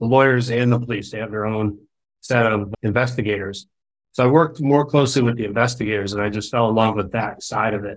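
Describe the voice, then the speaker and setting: Using an ordinary speaking voice, a man talks at a medium pitch with fairly even intonation. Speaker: app founder. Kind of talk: interview conversation.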